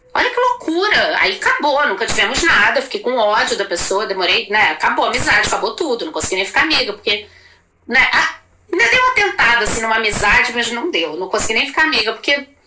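Over noticeable background noise, a woman with a high pitch talks at a fairly quick pace with very wide pitch swings. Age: 40s. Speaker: actress. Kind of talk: casual chat.

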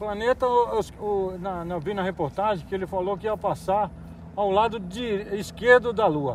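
Here a man speaks with a high pitch and ordinary pitch variation. His pace is fairly slow. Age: 50s. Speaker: business owner. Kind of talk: casual interview.

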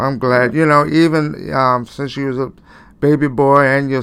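With an American accent, a man speaks at a medium pitch and with fairly even intonation in a normal speaking voice. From Cleveland, Ohio. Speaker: pastor and radio host. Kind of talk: casual interview.

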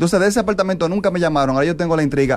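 A man talks at a very fast pace. His high pitch has lively intonation. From Dominican Republic, Santiago (Cibao region). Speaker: comedian. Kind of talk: comedic monologue.

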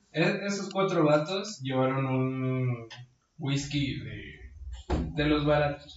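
A man with a Mexican accent at a very slow pace, fairly high pitch, ordinary pitch variation, big swings in loudness and audible room echo. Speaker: podcast co-host. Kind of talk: casual chat.

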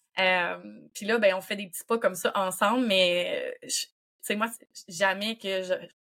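In a Quebec accent, a woman with a medium pitch speaks at a very slow pace in a monotone, flat intonation, with big swings in loudness, on a very clean recording with a silent background. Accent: Québécois French. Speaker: doula. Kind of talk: casual chat.

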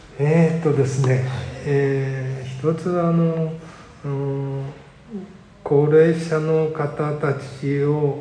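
Against noticeable background noise and audible room echo, a man speaks very slowly in a flat, monotone delivery. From Japan, Sendai area. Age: 70s. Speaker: community welfare council chair, retired civil servant. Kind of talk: interview. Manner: halting, many fillers.

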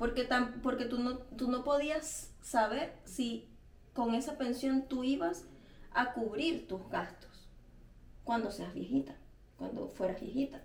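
In a Venezuelan accent, a woman talks at a very slow pace, with long, frequent pauses, a high pitch and ordinary pitch variation. Room echo can be heard. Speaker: podcast co-host. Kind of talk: casual chat.

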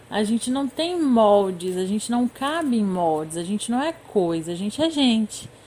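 A woman with a dark, mellow tone, fairly high pitch and a somewhat breathy quality speaks at a moderate pace with very wide pitch swings. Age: 20s. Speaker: former social work student, master's graduate. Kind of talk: interview.

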